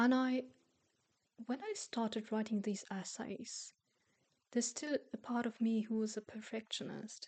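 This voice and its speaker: With a non-native accent, a woman speaks in a somewhat breathy, fairly high voice with fairly even intonation. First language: not English. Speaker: self-help youtuber and coach. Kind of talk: casual monologue to camera. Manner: halting, with repeated words.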